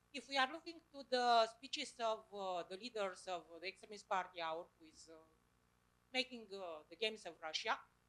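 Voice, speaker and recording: With a Romanian accent, a woman speaks at a moderate pace in a fairly high pitch. Her intonation is lively and her loudness swings a lot. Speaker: audience member asking a question. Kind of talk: public forum question. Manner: halting.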